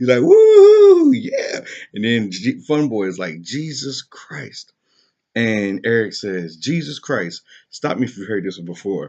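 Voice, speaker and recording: A man with a medium pitch talks at a fairly slow pace, his intonation lively. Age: 20s. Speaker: vlogger. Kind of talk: casual monologue. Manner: halting.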